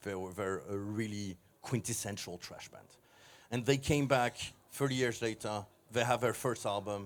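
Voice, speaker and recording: This man has an unremarkable speaking voice, fairly low in pitch. He talks at a moderate pace with big swings in loudness. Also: fairly even intonation. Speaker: record label head. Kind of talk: interview.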